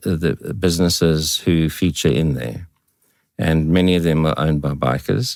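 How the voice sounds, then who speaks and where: A man talks at a moderate pace. His voice is very deep and low. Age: 70s. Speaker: veteran motorcyclist. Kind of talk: podcast interview. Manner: halting.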